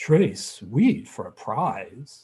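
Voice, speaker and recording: A man puts on a resonant character voice. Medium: read story.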